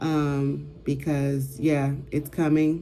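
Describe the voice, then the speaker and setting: A woman's very deep, low voice with fairly even intonation, music playing in the background. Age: 40s. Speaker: vlogger. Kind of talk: casual chat.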